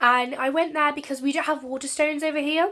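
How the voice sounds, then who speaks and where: In a Channel Islands accent, a woman speaks with a bright, sharp tone on a very clean recording with a silent background. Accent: British (Channel Islands). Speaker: book vlogger. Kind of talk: casual vlog.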